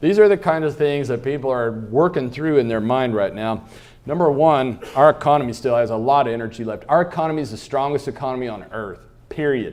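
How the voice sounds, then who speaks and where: An animated man with an American accent at medium pitch, ordinary pitch variation and a fairly quick pace, plus audible room echo. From Kansas. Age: 60s. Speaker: economist, keynote speaker. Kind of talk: keynote speech. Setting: luncheon stage with audience. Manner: animated, humorous.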